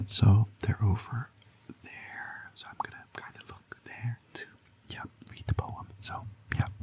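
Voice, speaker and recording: A man whispering at a fairly slow pace, with big swings in loudness and long, frequent pauses. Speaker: ASMR creator. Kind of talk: casual talk to camera.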